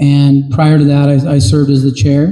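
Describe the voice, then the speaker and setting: Speaking in a Utah accent, a man with a fairly high pitch, ordinary pitch variation and a dark, mellow tone sounds somewhat breathy at a moderate pace. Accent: rural Utah American. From Utah, Duchesne County. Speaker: political candidate. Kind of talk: campaign speech. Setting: town meeting with audience. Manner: hesitant, many fillers.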